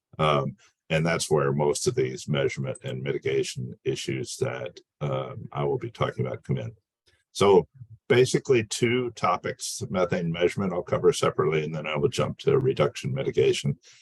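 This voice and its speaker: With an American accent and vocal fry, a man speaks at a fairly quick pace in a very deep, low pitch, swinging very widely in pitch in a dry, close recording with no echo. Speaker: environmental consultant. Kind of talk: webinar presentation. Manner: hesitant, many fillers.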